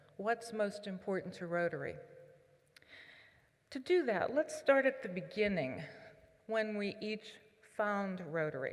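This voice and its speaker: A woman with a Pittsburgh accent speaks at a fairly slow pace, her fairly high voice showing lively intonation. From southwestern Pennsylvania (Pittsburgh area). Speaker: Rotary leader, conference speaker. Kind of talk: keynote speech.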